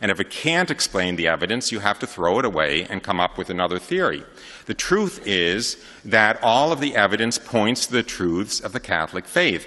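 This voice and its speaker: With an American accent, a man speaks at a moderate pace and fairly low pitch, his bright, sharp tone carried by lively intonation. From New York area, US. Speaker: convert giving testimony. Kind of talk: testimony talk to an audience. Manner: many fillers and hesitations.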